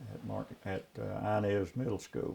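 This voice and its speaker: A man with an Appalachian accent talks at a fairly slow pace. His pitch is fairly low and varies in an ordinary way. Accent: Appalachian, unchanged. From Appalachia, eastern Kentucky. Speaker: saddle maker and retired teacher. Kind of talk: interview.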